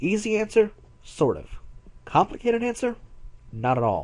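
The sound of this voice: Putting on a character voice, a man speaks at a fairly slow pace and a high pitch, with very wide pitch swings and a slightly mellow tone.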